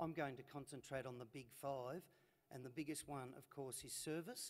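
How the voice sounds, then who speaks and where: With an Australian accent, a man talks in a fairly high voice with ordinary pitch variation. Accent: Australian drawl. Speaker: transport manager. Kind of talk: conference presentation. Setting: stage with audience. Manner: hesitant, many fillers.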